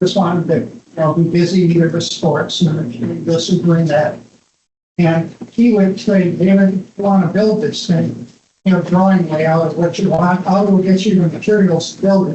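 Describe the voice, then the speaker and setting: With an American accent, a man speaks at a moderate pace in a high pitch and fairly even intonation, with audible room echo. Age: 80s+. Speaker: retired engineer, son of designer. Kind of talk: anniversary talk, reminiscing to audience.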